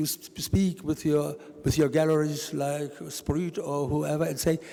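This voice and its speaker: In a German accent, a man speaks at a fairly slow pace. His pitch is fairly high and his tone dark and mellow. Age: 70s. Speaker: art collector. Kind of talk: panel discussion. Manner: halting.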